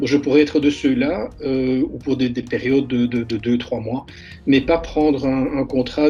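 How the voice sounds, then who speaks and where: Music plays in the background as a man with a fairly high pitch speaks. His pace is moderate and his intonation fairly even. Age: 60s. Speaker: retired engineer and student. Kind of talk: interview. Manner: halting, with frequent repetitions and hesitations.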